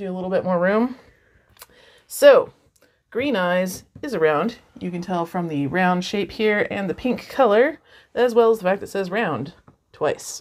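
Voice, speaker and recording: A woman at a moderate pace, her loudness swinging widely, with long, frequent pauses and a quiet background. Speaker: crafter host. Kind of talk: casual unboxing vlog chat. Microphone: lapel.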